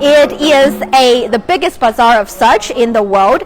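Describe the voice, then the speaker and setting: A woman with a Chinese accent speaks in a high pitch with lively intonation and an animated tone. Noticeable background noise sits behind her. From China. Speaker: live stream travel host. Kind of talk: live stream presenting. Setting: outdoors at a bazaar.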